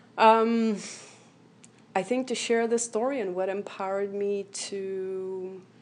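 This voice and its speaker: A woman with a Lithuanian accent speaks at a very slow pace in a medium pitch, her intonation fairly even, with long, frequent pauses. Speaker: motivational speaker, accident survivor. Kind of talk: radio interview. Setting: radio studio. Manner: hesitant, many fillers.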